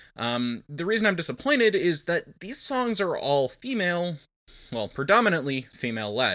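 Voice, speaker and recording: A man talks at a moderate pace in a high pitch. His bright, sharp tone swings very widely in pitch. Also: very clean recording, silent background. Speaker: theatre student vlogger. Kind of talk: video diary. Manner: stuttering; casual, filler words.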